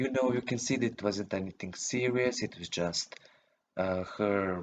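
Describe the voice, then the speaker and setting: The speaker is a man with a non-native accent. He talks at a fairly slow pace. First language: not English. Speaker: youtuber. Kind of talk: casual vlog monologue. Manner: halting, many fillers.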